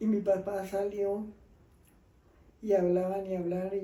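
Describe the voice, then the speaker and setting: Over noticeable background noise and audible room echo, the speaker uses monotone, flat intonation at a fairly slow pace. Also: woman. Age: 70s. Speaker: grandmother telling life stories. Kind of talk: storytelling in casual interview.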